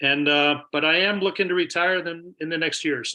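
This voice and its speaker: Over a quiet background, a bright, sharp voice moves at a fairly quick pace with fairly even intonation. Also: man. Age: 60s. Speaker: army veteran and prostate cancer survivor. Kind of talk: panel discussion.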